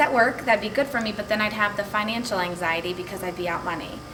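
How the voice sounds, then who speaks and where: A woman with fairly even intonation, amid noticeable background noise and audible room echo. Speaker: direct sales consultant. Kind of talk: testimony. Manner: fast.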